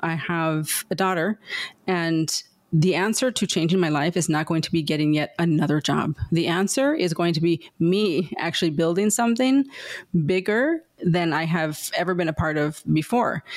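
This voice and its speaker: With an American accent, a woman with an ordinary speaking voice talks at a moderate pace in a fairly low pitch, keeping very even loudness and ordinary pitch variation. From Southern California, San Diego. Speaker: entrepreneur. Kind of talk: interview.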